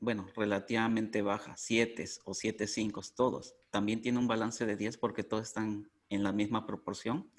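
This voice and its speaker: A man with an unremarkable speaking voice at a medium pitch talks at a fairly slow pace in a very clean recording with a silent background. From Mexico. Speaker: coffee cupping instructor. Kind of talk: interview.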